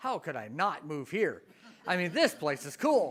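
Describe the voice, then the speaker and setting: A man with a slight Canadian accent on a very clean recording, silent background. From Canada, Ontario. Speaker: professor. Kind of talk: Q&A after a talk.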